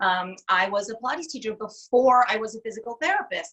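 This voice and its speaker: Speaking at a fairly quick pace with an American accent, a woman uses lively intonation and a fairly high pitch. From New York City area (Brooklyn, Manhattan) with New Jersey. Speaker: Pilates teacher and physical therapist. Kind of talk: casual interview.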